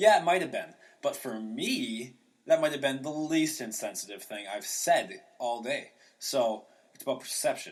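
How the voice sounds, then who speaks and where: Animated in tone, a man speaks at a fairly high pitch with very wide pitch swings and big swings in loudness. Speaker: comedian hosting a podcast. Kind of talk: casual solo podcast monologue. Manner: fast; animated, high energy.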